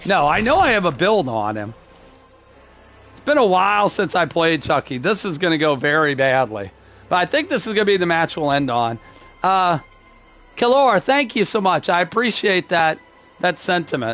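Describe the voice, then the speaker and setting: A man's high, angry voice at a moderate pace, with very wide pitch swings and long, frequent pauses over music in the background. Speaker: video game streamer. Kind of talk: live gameplay stream chat. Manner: can sound angry.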